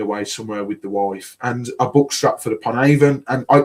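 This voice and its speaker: With a Birmingham accent, a man speaks at a medium pitch and a moderate pace. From Birmingham, England. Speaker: podcast host. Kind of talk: casual chat.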